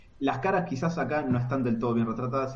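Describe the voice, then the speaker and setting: A somewhat breathy man speaks at a very fast pace with ordinary pitch variation. Audible room echo surrounds his voice. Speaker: comic podcast co-host. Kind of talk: casual chat. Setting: live stream.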